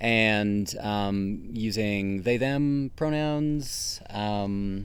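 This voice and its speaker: Speaking at a very slow pace, a man uses a fairly low pitch, with audible room echo in the recording. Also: ordinary pitch variation. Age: 30s. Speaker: associate pastor. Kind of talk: interview.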